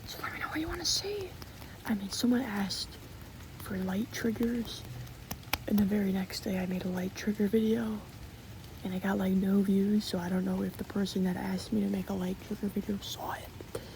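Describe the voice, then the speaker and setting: Someone whispers at a fairly quick pace, with long, frequent pauses and noticeable background noise. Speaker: ASMR creator. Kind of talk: ASMR casual chat. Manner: whispering; repetitive, rambling filler speech.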